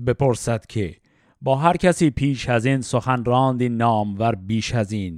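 The recording is very clean, with a silent background. A man talks in a medium pitch at a fairly slow pace. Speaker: Shahnameh reading podcast host. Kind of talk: reading aloud classical poetry with commentary.

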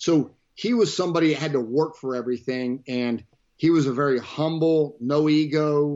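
This man has an unremarkable speaking voice with an American accent. His pitch is fairly high, with ordinary pitch variation. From US South, Florida panhandle. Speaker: fire battalion chief. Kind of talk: casual interview.

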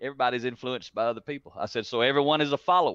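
There is a dry, close sound with no echo and a quiet background. A man with a Southern US accent speaks in a fairly high pitch. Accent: country (rural Southern US). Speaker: leadership speaker and author. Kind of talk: interview.

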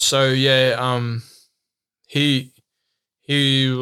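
A man with a New Zealand accent speaks in a bright, sharp tone with monotone, flat intonation. The recording is very clean, with a silent background. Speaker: professional mountain bike racer. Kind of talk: casual interview chat. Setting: in person, UK. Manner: hesitant, many fillers.

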